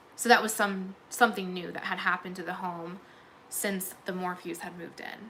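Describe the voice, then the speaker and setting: Noticeable background noise, a monotone, flat delivery, big swings in loudness and a moderate pace. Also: woman, medium pitch for a woman. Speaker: true crime commentator. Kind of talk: livestream recap chat. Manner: halting.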